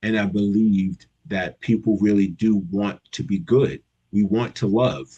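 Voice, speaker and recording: Fairly slow, fairly low-pitched speech from a man with an American accent, dark and mellow in tone with ordinary pitch variation. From New York, Long Island. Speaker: youth program leader. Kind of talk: casual interview chat. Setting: live video stream. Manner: animated.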